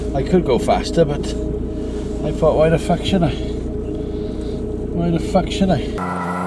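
A man at a very slow pace with hardly any pauses, against loud background noise. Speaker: van driver vlogger. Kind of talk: angry rant while driving. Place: car. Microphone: phone near.

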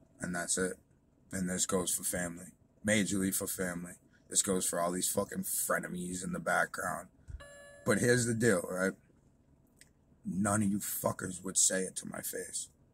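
Over music in the background, a man speaks at a moderate pace with long, frequent pauses, the sound dry with no echo. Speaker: vlogger. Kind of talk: casual vlog rant. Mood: angry, defiant. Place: car. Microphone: phone near.

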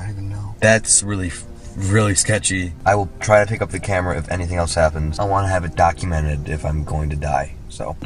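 Over faint music in the background, a man with a very deep, low voice talks at a very fast pace with ordinary pitch variation, the sound dry with no echo. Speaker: vlogger. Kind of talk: casual vlog chat. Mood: nervous, spooked. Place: car. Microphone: phone near.

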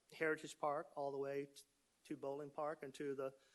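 Fairly high male voice, monotone and flat, at a moderate pace. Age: 60s. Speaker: city official presenting annual report. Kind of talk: council meeting presentation. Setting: city council meeting. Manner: hesitant, many fillers.

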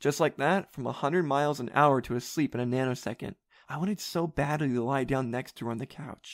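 The speaker reads in an unforced reading voice. Pitch variation is ordinary.

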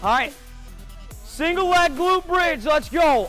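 Faint music sits in the background while a man talks. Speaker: fitness coach. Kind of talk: workout class coaching. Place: gym.

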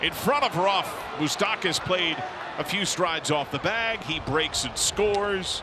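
Noticeable background noise behind a high-pitched male voice with ordinary pitch movement. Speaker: baseball broadcaster. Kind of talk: rapid-fire live play-by-play of a baseball hit. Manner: excitable, escalating energy as the run scores.

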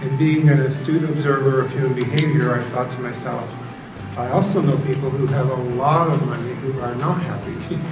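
A man's pace is fairly quick. Behind him, music plays clearly. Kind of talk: talk to an audience. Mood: warm, smiling, reflective. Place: hall.

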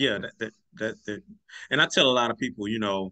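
Speaking at a fairly quick pace, a man has a bright, sharp tone.

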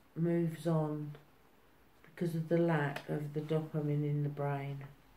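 Light background noise can be heard along with audible echo in the room. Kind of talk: interview answer. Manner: slow, soft speech of a frail elder. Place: home room. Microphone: phone near.

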